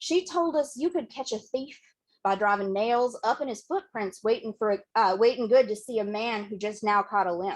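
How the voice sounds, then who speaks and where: A woman with a Southern accent, fairly high in pitch, at a moderate pace. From western Kentucky. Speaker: poet. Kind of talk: poetry reading. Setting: bookshop reading, hybrid with Zoom.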